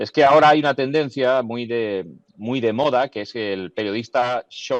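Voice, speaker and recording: The man's medium-pitched voice moves at a fairly slow pace with ordinary pitch variation, recorded dry and close with no echo. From Andalusia, Jaén. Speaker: journalist and voice-over teacher. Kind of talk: podcast interview. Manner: clear articulation.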